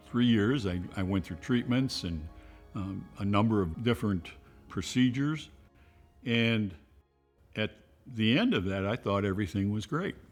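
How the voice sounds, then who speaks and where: Over background music, a fairly low-pitched man speaks at a moderate pace with ordinary pitch variation and long, frequent pauses. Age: 70s. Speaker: cancer patient. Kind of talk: testimony.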